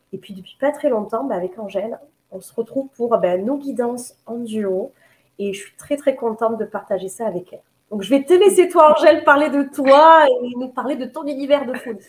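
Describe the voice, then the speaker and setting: A woman with a southern French accent speaks at a moderate pace in a high pitch, her intonation lively and her loudness swinging widely. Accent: southern French, sing-song. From southern France, Nîmes. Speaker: medium and holistic therapist. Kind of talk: casual self-introduction. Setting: live video. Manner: halting, many fillers.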